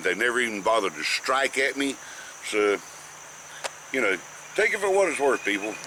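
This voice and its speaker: With a North Carolina accent, a man talks at a moderate pace through noticeable background noise, his pitch swinging very widely between long, frequent pauses. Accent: Southern US (North Carolina). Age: 60s. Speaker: snake educator. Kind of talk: informal tutorial. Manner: halting, frequent fillers.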